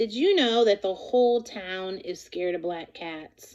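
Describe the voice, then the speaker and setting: In a put-on character voice with a warm tone, the speaker talks at a moderate pace. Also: woman, medium pitch for a woman. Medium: read story. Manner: warm, reassuring.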